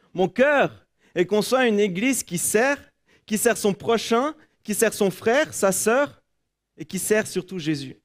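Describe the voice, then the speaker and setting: In a very clean recording with a silent background, a man speaks at a high pitch with lively intonation. He goes at a very slow pace, with long, frequent pauses. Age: 20s. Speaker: preacher. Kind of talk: sermon; prayer. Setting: church.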